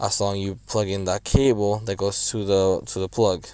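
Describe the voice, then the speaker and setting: A man's very deep, low-pitched voice. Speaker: car DIY video maker. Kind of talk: tutorial. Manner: halting, many fillers.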